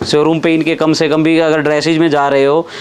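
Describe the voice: This man talks at a fairly quick pace, with a fairly high pitch and little pitch movement. Faint background noise sits behind him.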